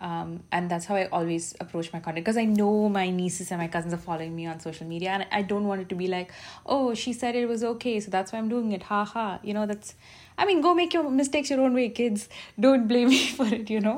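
A woman with an Indian accent speaks at a very fast pace. Her pitch is medium and her intonation is lively. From India, Bangalore. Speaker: podcast host and social media content creator. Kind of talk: casual solo monologue. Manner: casual, unpolished delivery.

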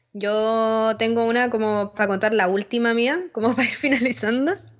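A woman talks in an ordinary speaking voice, keeping her intonation fairly even at a moderate speed. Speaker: podcast co-host. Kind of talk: casual chat.

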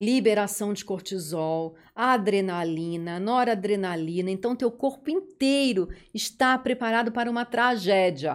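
In an ordinary speaking voice, the speaker goes at a fairly slow pace with ordinary pitch variation, in a very clean recording with a silent background. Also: woman. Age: 50s. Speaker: dentist. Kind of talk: interview.

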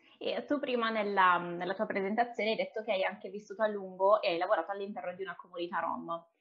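Over noticeable background noise, a woman at medium pitch speaks at a very fast pace with hardly any pauses and fairly even intonation. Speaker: podcast host. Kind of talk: interview conversation.

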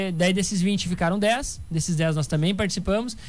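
A man talks at a fairly quick pace. His intonation stays fairly even, and the room echo is audible. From Rio Grande do Sul, Brazil (Santa Rosa). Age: 20s. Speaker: startup founder. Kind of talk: casual interview.

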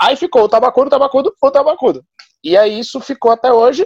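The recording is dry and close-up, free of echo. A man delivers his lines at a middling speed. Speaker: stand-up comedian. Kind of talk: casual interview.

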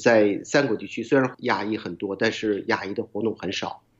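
Speaking in an unremarkable speaking voice, a man talks at a moderate pace with a medium pitch and ordinary pitch variation. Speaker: school board member. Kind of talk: casual interview.

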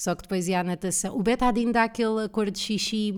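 With an animated tone, a woman keeps a moderate pace. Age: 30s. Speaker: comedian and podcast host. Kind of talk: solo casual monologue.

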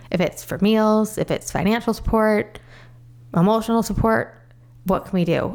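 A woman with an American accent and an ordinary speaking voice at a moderate pace. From US Midwest, northern Illinois. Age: 40s. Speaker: cancer survivor. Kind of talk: interview.

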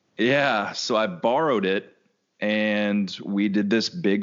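This man's voice sits at a fairly low pitch. His pitch varies in an ordinary way. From Kentucky. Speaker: photographer. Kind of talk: interview.

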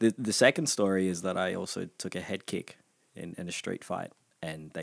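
Using an Australian accent, a man with a very deep, low pitch speaks with ordinary pitch variation and big swings in loudness. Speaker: podcast guest. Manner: casual storyteller.

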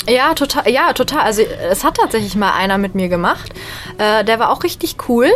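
Noticeable background noise surrounds a woman's fairly high voice. She moves at a moderate pace with lively intonation. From western Germany, Bonn. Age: 20s. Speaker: stand-up comedian. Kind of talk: casual radio interview.

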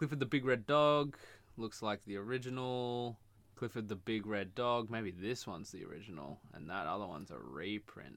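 A man with an ordinary speaking voice at a medium pitch and moderate pace, with lively intonation and big swings in loudness. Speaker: podcast co-host. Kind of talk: casual banter podcast chat. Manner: sarcastic, joking, talks over.

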